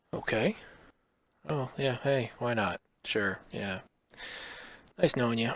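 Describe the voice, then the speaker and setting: A man speaks quietly at a very slow pace, with long, frequent pauses. His pitch is medium, with ordinary variation. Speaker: card game streamer. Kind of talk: gameplay commentary.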